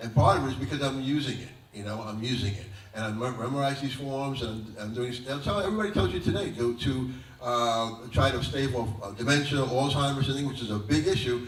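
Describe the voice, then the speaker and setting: A man with an American accent talks at a fairly quick pace, medium in pitch with ordinary pitch variation. Audible room echo and noticeable background noise fill the recording. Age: 60s. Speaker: kung fu master. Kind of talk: interview. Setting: college venue. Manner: halting, many fillers.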